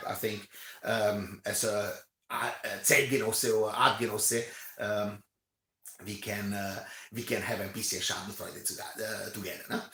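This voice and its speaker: A man with a bright, sharp tone talks at a fairly slow pace, leaving long, frequent pauses. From Romania. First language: not English (English is third language). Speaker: commentator. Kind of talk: rant. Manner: halting, many fillers and repetitions.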